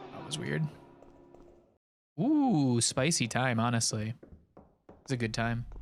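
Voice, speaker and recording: Over music in the background, a man at medium pitch talks at a fairly slow pace with ordinary pitch variation and long, frequent pauses. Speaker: video game speedrunner streamer. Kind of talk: casual live-stream chat while playing. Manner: quieter and calmer than usual; too loud.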